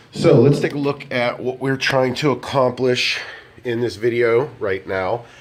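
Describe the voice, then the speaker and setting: With noticeable background noise behind him, a man speaks at a fairly slow pace and medium pitch, using ordinary pitch variation. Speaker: DJ doing product reviews. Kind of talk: product review tutorial. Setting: indoors in block building, speaking through wireless microphone to speaker. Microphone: handheld wireless mic through speaker with moderate echo, camera in other room.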